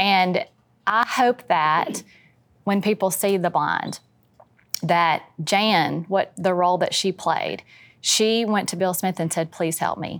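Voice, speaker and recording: A woman with a Louisiana accent speaks at a very slow pace with long, frequent pauses and ordinary pitch variation on a very clean recording with a silent background. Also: medium pitch for a woman. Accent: US Southern (Louisiana). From Louisiana, West Monroe. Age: 50s. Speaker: family member of a reality TV family. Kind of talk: casual chat.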